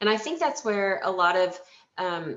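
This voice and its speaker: A plain, everyday voice from a woman, medium in pitch, with ordinary pitch variation. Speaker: healthcare organization leader. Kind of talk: webinar presentation. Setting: webinar.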